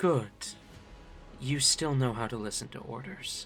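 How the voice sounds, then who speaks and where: A put-on character voice from a man, medium in pitch with ordinary pitch variation, at a moderate pace over clear background noise. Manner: approving, authoritative.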